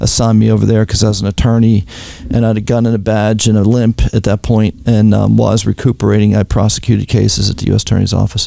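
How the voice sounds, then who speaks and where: Someone with a Pittsburgh accent speaks over noticeable background noise. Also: man. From Pittsburgh, Pennsylvania. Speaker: retired FBI agent. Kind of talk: interview testimony.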